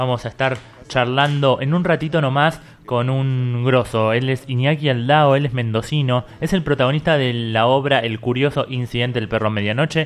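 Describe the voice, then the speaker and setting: At a moderate pace and medium pitch, a man talks in a plain, everyday voice with fairly even intonation. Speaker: radio host. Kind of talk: casual interview.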